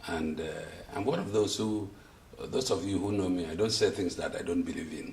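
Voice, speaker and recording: A man is heard with audible echo from the room and noticeable noise in the background. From Nigeria, Akwa Ibom. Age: 70s. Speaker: elder statesman giving testimonial. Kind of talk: interview testimonial. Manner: halting, many fillers.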